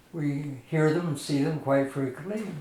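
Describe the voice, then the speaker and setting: Amid noticeable background noise, a man with a fairly high pitch speaks very slowly with fairly even intonation. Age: 80s+. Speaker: retired nuclear engineer. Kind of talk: interview answer.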